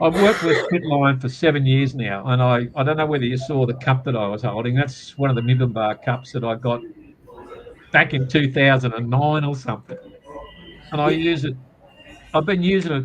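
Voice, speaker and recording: A man with an Australian accent speaks at a medium pitch and fairly quick pace, with ordinary pitch variation, long, frequent pauses and noticeable background noise. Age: 70s. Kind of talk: casual chat. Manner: halting, with repeated words.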